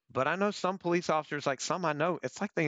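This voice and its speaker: Vocal fry marks this man's speech, delivered with an American accent. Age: 30s. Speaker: former police officer and Marine veteran. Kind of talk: interview.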